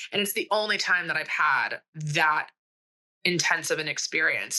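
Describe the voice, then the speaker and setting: A bright, sharp tone with an American accent, ordinary pitch variation and a moderate pace. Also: woman. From Texas. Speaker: cult survivor. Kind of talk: interview testimony. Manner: animated.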